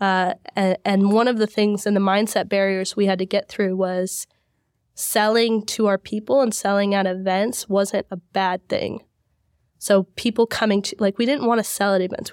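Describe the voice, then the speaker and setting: A woman talks at a medium pitch in a monotone, flat intonation. The sound is dry and close with no echo, on a very clean recording with a silent background. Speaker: podcast host and events business co-owner. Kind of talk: casual interview chat.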